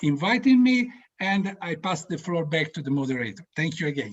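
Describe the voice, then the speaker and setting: A high-pitched man talks at a fairly slow pace with an Italian accent. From Italy. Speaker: orchestra board member, panel speaker. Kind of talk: opening address. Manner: halting.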